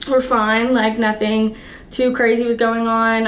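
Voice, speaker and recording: A woman's fairly high voice in a monotone, flat delivery, with audible room echo. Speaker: vlogger and dancer. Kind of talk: casual storytelling vlog. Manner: casual, filler-heavy.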